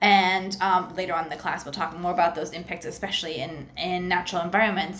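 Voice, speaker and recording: Audible room echo surrounds a woman's voice. She talks at a fairly quick pace in an animated tone. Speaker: university lecturer. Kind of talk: recorded online lecture. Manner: fast.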